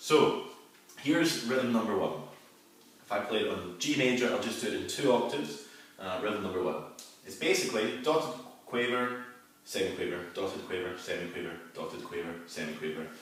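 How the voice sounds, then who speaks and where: The speaker, with a Scottish accent, talks at a fairly quick pace but with long, frequent pauses and very wide pitch swings. Noticeable background noise and audible room echo fill the recording. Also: man, medium pitch for a man. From Scotland. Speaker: flute player and teacher. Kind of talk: tutorial. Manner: casual, hesitant with fillers.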